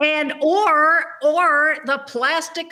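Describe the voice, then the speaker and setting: A woman speaks in a raised, projected voice. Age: 70s. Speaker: author. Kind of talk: interview.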